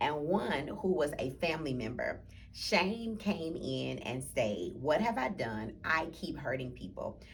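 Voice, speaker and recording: A woman with a very deep, low pitch and very wide pitch swings, with hardly any pauses and audible room echo. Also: fairly slow pace. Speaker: church book club leader. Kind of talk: book club talk with reading aloud.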